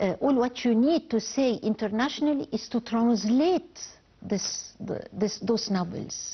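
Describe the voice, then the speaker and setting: Speaking with an Arabic accent, a woman has a fairly high, somewhat breathy voice and lively intonation. Her pace is fairly slow and her loudness very even. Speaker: novelist. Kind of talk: TV interview. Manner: halting with false starts.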